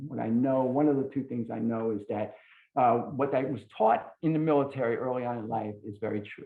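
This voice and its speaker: Speaking at a moderate pace, a man uses a plain, everyday voice at a medium pitch. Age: 60s. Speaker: recovery speaker, military veteran. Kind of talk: testimony.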